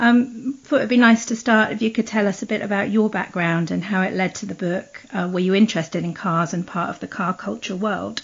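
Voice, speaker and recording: Fairly quick delivery with hardly any pauses, ordinary pitch variation and vocal fry. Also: woman, medium pitch for a woman. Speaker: podcast host. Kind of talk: interview questions. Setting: Skype call.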